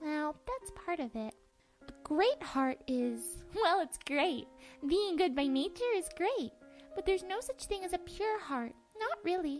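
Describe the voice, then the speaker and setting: A cartoonish character voice at an extremely high pitch, warm and gentle in tone, moves at a moderate pace. Faint music plays in the background. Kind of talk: amateur comic dub voice acting. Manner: quirky, wordy, warm; gentle and affectionate.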